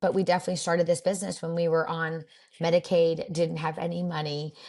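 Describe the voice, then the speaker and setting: Fairly low-pitched, somewhat breathy speech from a woman, flat and monotone in intonation. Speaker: boutique owner. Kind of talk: interview conversation. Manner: fast.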